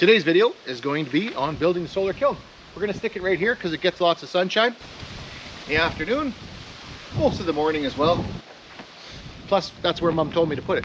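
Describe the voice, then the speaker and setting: A man's high-pitched, very fast speech with lively intonation and long, frequent pauses, over noticeable background noise. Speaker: DIY woodworking YouTuber. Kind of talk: casual DIY vlog tutorial.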